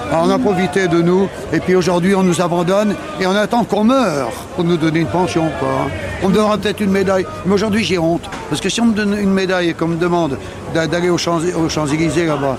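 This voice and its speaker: Noticeable background noise sits behind a man talking at a very fast pace. His voice is high-pitched, with ordinary pitch variation and very even loudness. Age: 60s. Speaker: war veteran. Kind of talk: testimony. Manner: halting.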